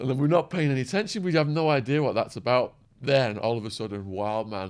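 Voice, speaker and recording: The speaker is a man with an English accent. He keeps a moderate pace. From England. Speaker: true crime youtuber and former drug trafficker. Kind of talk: casual interview chat.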